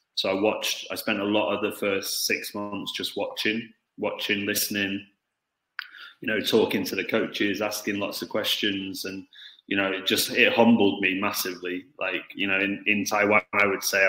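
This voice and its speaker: This man speaks with a British accent. His pace is moderate. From Stoke-on-Trent, England. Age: 30s. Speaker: football coach. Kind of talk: interview. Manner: hesitant, many fillers.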